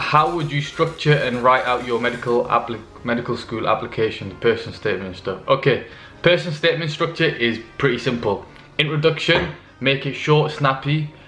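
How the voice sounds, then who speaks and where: The man speaks at a medium pitch and a fairly quick pace, with ordinary pitch variation. Audible room echo and noticeable background noise are present. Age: 20s. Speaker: medical student youtuber. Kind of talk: Q&A advice vlog. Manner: casual, many fillers.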